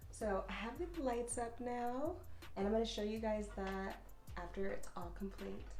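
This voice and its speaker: The speaker is soft-spoken and talks at a moderate pace. Music can be heard in the background. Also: woman. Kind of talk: ASMR soft-spoken talk to camera. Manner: soft-spoken, relaxed.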